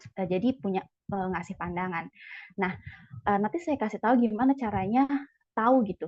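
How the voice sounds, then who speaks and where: The delivery moves at a fairly quick pace with lively intonation, broken by long, frequent pauses. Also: woman, medium pitch for a woman. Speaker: CPNS exam coach, lecturer candidate. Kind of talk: online sharing session. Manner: disorganized, hesitant.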